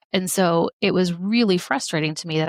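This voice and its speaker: A plain, everyday voice with an American accent and ordinary pitch variation. The sound is dry and close, with no echo. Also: woman. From Missouri. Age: 30s. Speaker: medical doctor and life coach. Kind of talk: podcast interview.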